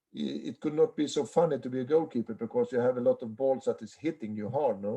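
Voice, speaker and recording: The speaker is a man. He has a Swedish accent. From Sweden. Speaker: handball goalkeeper coach. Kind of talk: online seminar Q&A. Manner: halting.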